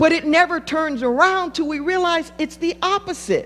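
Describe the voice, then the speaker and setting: A woman speaks with an American accent. Her pitch is extremely high. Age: 60s. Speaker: pastor. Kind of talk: sermon.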